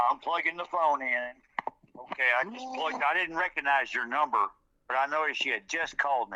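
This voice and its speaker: A man with a Louisiana accent talks at a fairly quick pace, his fairly high pitch, bright, sharp tone and lively intonation all standing out. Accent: Louisiana Southern US. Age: 60s. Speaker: eyewitness, military veteran. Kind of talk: interview, personal account.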